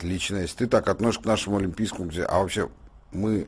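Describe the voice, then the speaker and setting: Talking at a very fast pace, a man has a fairly low pitch with ordinary pitch variation. His voice is somewhat breathy. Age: 50s. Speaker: political and economic commentator. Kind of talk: radio studio discussion. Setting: radio studio. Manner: animated.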